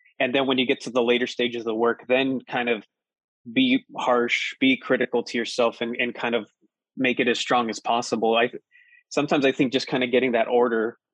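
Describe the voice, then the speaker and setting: At a fairly quick pace, a man talks in a medium-pitched, monotone voice with flat intonation. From Colorado Springs, US. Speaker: poet and professor. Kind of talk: conversational interview.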